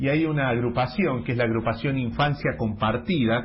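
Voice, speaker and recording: Somewhat breathy, this man speaks with lively intonation. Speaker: radio host. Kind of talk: radio interview.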